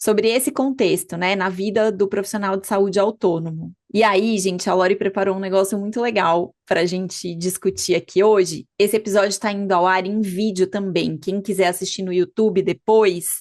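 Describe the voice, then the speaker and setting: A woman with an ordinary speaking voice at medium pitch, a moderate pace, fairly even intonation and hardly any pauses, over a quiet background. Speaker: physician and podcast host. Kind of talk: podcast conversation.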